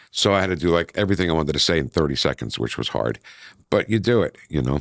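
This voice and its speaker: In a very clean recording with a silent background, a man speaks very fast with vocal fry. His pitch is very deep and low, and his intonation is lively. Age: 60s. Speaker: radio host and former DJ. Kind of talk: casual interview chat. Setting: radio studio.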